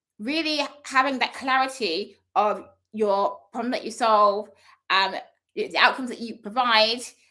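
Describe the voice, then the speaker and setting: A woman's fairly high, bright and sharp voice with lively intonation at a fairly slow pace. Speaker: speaker coach. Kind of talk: live session monologue. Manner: stumbles over words.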